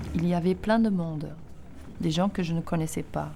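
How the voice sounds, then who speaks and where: A woman speaks at a moderate pace with a fairly low pitch and a dark, mellow tone. Her voice is somewhat breathy, and her intonation stays fairly even. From East Germany. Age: 30s. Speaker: filmmaker. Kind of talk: scripted narration.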